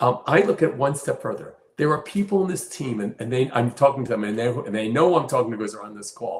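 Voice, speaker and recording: Speaking at a very fast pace, a man with a medium pitch and a somewhat breathy voice uses lively intonation and big swings in loudness. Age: 70s. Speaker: company CEO. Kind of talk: interview. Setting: live stream.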